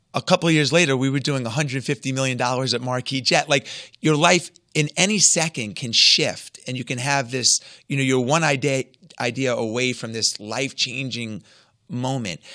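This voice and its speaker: With an American accent, a man talks at a moderate pace, with a medium pitch and a bright, sharp tone, in a very clean recording with a silent background. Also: ordinary pitch variation. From US Northeast, Long Island. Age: 50s. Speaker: entrepreneur and author. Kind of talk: interview.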